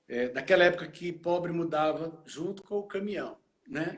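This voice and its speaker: A man talks very slowly, his intonation fairly even. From Goiânia, central Brazil. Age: 60s. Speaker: pastor. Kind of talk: interview testimony. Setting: live stream.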